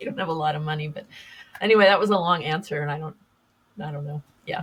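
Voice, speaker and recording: In an American accent, a woman with a very deep, low voice speaks very fast, with ordinary pitch variation and big swings in loudness. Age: 60s. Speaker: podcast host and public speaker. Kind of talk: interview conversation. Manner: halting, many fillers and restarts.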